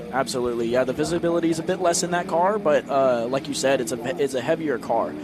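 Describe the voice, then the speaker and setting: Over music in the background, a man with a fairly high pitch talks at a very fast pace with hardly any pauses, very even loudness and ordinary pitch variation. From Louisiana. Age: 20s. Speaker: racing driver. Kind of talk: interview.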